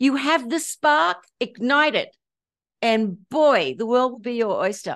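Very slow delivery with very wide pitch swings over a quiet background. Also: woman. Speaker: spiritual teacher and author. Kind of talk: interview. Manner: high energy.

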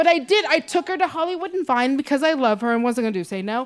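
In an American accent, a woman speaks at a high pitch. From Seattle, Washington. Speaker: stand-up comedian. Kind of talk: stand-up. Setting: stage with audience.

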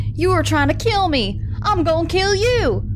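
Over loud background noise, a put-on character voice speaks at a moderate pace. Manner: hollering, enraged.

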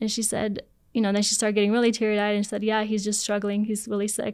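A woman's fairly high-pitched voice on a very clean recording with a silent background. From Poland, moved to US at ten. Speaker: guest sharing faith story. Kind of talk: testimony. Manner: animated, many fillers.

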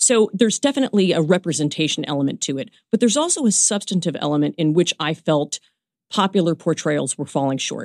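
On a very clean, dry recording, close with no echo and a silent background, a woman with an American accent speaks very fast in a fairly low voice with lively intonation. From New York, Brooklyn. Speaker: law professor. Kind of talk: interview.

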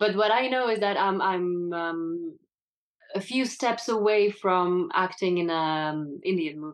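This woman speaks in a French accent at a medium pitch. Her pace is fairly slow, with ordinary pitch variation. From France. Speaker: actress. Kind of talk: casual interview.

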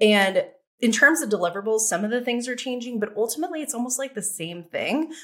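A woman with an American accent speaks at a very fast pace. Her high-pitched voice has lively intonation. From New York City. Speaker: digital course creation agency founder. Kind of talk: podcast interview.

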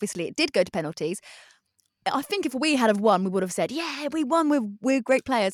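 A woman at a very fast pace with very wide pitch swings, in a dry, close sound with no echo on a very clean recording with a silent background. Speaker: podcast co-host. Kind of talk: casual chat. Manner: excitable, rambling, laughs often.

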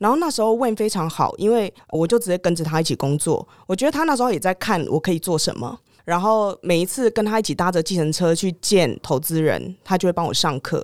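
With lively intonation and hardly any pauses, a woman talks at a fairly quick pace in a very clean recording with a silent background. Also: medium pitch for a woman. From Taiwan. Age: 30s. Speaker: former foreign correspondent, tech startup executive. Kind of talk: interview.

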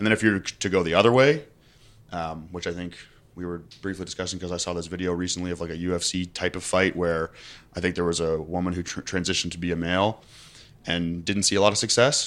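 A very deep, low male voice at a very fast pace, fairly even in intonation, on a very clean recording with a silent background. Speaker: fitness content creator and online coach. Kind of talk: casual chat.

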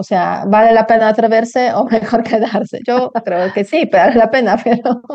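A woman with a Polish accent speaks at a fairly high pitch with fairly even intonation. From Poland. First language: Polish (speaking Spanish). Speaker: podcast host. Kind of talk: interview. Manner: hesitant, many fillers.

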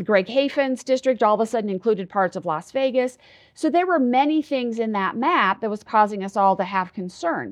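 A woman with an American accent talks at a fairly quick pace and fairly high pitch in a plain, everyday voice, with a quiet background. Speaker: president of a redistricting advocacy group. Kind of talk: interview.

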